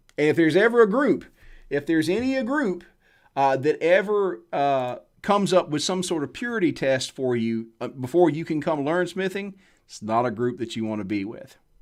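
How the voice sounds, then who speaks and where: A man with a Southern US accent, fairly high-pitched, with very wide pitch swings at a moderate pace, on a very clean recording against a silent background. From US South. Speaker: blacksmith. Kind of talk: live stream Q&A talk. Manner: casual, conversational.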